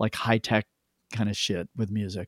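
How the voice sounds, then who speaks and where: A man with a Canadian accent and an unremarkable speaking voice talks at a fairly quick pace with medium pitch and fairly even intonation, in a dry, close sound with no echo. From Canada (Toronto), born in London. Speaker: record producer and sound engineer. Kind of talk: casual chat.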